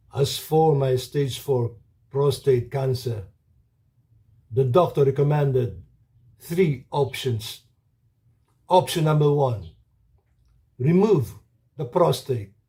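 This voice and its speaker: Speaking at a very slow pace with long, frequent pauses, a man with a fairly high pitch has a dark, mellow tone that is somewhat breathy. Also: ordinary pitch variation. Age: 70s. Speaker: cancer survivor. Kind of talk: testimony.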